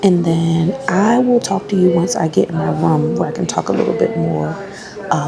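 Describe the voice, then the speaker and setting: Noticeable background noise surrounds the recording. A woman whispers at a moderate pace. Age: 30s. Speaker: travel vlogger. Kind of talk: vlog monologue. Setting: resort restaurant. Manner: whispering.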